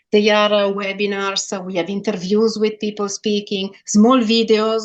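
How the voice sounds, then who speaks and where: This woman speaks at a fairly quick pace. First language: not English. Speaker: sales executive. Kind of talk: interview. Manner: halting.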